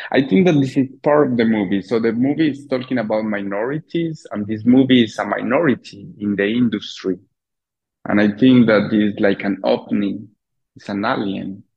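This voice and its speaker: At a moderate pace, a man with a non-native accent talks at a medium pitch with ordinary pitch variation. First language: Spanish. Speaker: filmmaker. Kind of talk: interview. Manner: halting.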